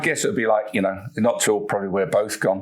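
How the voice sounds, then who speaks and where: Very fast male speech over noticeable background noise. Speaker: podcast host and magician. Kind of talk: podcast interview questions.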